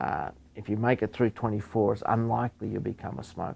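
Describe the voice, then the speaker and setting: Talking at a fairly quick pace, a man has a fairly low pitch, a dark, mellow tone and vocal fry. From Australia. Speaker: professor and epidemiologist. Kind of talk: interview. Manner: halting, many fillers and repeats.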